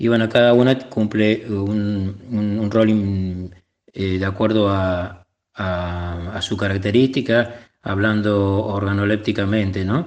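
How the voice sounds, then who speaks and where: A man's fairly low voice, very slow, with fairly even intonation. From Argentina, Córdoba province (Etruria). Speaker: cook and olive grower. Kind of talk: interview testimony. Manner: halting, many fillers.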